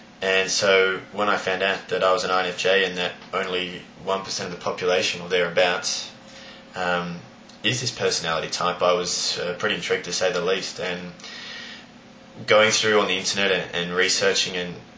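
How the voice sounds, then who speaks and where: A man with an Australian accent speaks at a fairly quick pace in a very deep, low pitch, with monotone, flat intonation. There is noticeable background noise and audible room echo. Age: 20s. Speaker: high school teacher. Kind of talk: personal vlog monologue. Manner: hesitant, many fillers.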